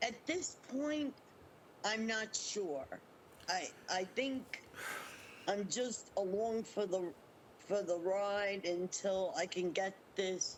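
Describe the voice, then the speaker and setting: At a very slow pace, a woman speaks at medium pitch with ordinary pitch variation. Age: 60s. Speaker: interviewee, scam victim. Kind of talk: interview testimony. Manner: halting.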